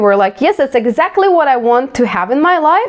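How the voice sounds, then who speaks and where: A woman with a Ukrainian accent talks at a moderate pace. Her pitch swings very widely over noticeable background noise. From Ukraine. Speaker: vlogger. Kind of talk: casual self-reflective monologue.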